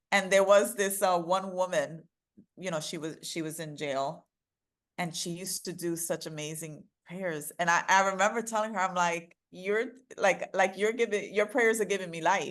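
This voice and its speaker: With a New York accent, the speaker shows ordinary pitch variation and big swings in loudness against a quiet background. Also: woman, medium pitch for a woman, moderate pace. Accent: New York American. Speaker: DEI consultant and author. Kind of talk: interview. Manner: animated.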